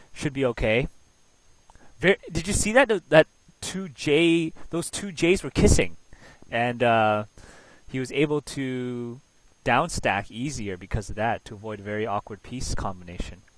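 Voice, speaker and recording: A man speaks at a moderate pace and medium pitch, with very wide pitch swings and big swings in loudness. There are long, frequent pauses, and the sound is dry and close with no echo. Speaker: game commentator. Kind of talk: live commentary. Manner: soft-spoken; animated.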